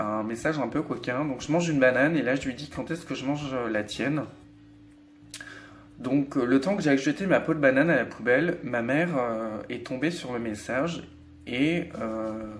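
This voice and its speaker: Moderate pace and ordinary pitch variation in a medium-pitched male voice. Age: 20s. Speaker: vlogger. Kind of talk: personal testimony vlog. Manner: hesitant, many fillers.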